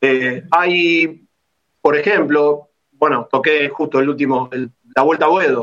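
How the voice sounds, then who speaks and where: At a very slow pace, a man talks with a fairly high pitch and fairly even intonation. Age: 50s. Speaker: football club member and opposition club politician. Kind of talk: interview.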